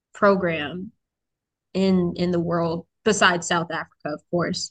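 The voice has an American accent and flat, monotone intonation, recorded with a dry, close sound and no echo. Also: woman. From US military family, grew up in several places, settled in DC area. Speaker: university student. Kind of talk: casual chat.

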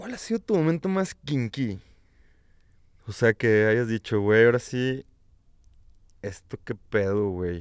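Recorded dry and close with no echo, a man speaks at a very slow pace with long, frequent pauses. His medium-pitched voice has lively intonation. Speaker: podcast co-host. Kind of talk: casual chat.

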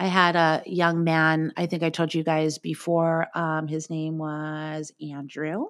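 The recording is very clean, with a silent background. A woman talks in a very deep, low pitch. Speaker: music industry professional. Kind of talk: casual chat.

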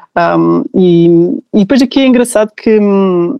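A woman's normal speaking voice at medium pitch with lively intonation. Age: 30s. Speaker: new mother sharing birth story. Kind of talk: testimony.

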